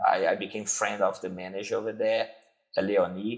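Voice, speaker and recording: Here a man speaks with a Brazilian Portuguese accent. The pace is moderate. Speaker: jiu-jitsu instructor. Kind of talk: interview.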